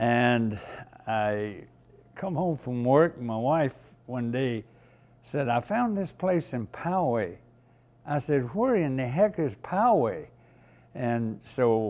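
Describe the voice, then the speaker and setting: A man's lively intonation at a very slow pace, on a very clean recording with a silent background. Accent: Southern US. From US South, rural North Carolina. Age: 90s. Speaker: museum volunteer, Navy veteran. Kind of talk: interview.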